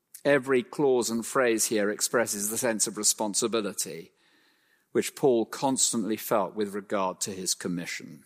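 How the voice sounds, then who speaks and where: An unremarkable speaking voice from a man at medium pitch, with a moderate pace, ordinary pitch variation and a very clean recording over a silent background. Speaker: preacher. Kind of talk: sermon. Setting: church.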